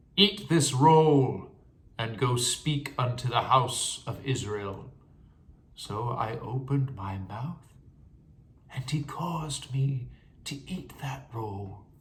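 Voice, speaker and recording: Over noticeable background noise, a man at medium pitch speaks at a very slow pace with a dramatic tone, lively intonation, big swings in loudness, and long, frequent pauses. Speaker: bible reader. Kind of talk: scripture reading.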